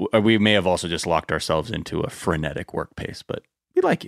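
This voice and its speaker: A man at a fairly quick pace, with a dry, close sound and no echo. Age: 30s. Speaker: podcast host and former political organizer. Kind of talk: casual chat. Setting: video call. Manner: animated.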